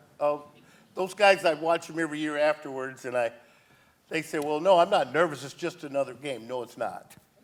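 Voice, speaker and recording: A man with a plain, everyday voice, fairly high in pitch, with ordinary pitch variation. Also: fairly quick pace. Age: 60s. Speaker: former baseball player, youth coach. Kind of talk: talk show interview.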